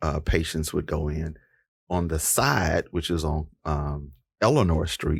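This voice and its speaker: At a fairly slow pace, a man speaks with a very deep, low pitch, somewhat breathy, his intonation fairly even. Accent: American. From East Texas. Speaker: podcast host. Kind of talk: interview.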